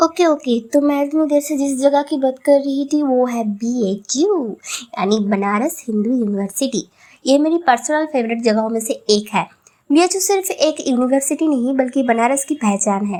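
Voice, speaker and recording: A woman speaks with a Bengali accent at a high pitch. Her intonation is lively. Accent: Bengali-accented Hindi. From Bengal, India. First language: Bengali (speaking Hindi). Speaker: travel vlogger. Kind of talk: vlog narration.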